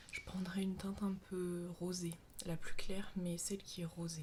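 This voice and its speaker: Soft-spoken and fairly slow, a woman talks in a monotone with flat intonation. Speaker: ASMR creator, sophrology practitioner. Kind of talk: ASMR makeup show-and-tell.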